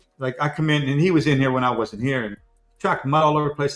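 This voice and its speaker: Over music in the background, a man with a fairly high pitch speaks at a very fast pace. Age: 60s. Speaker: collectibles show co-host. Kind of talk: casual chat. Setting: live stream.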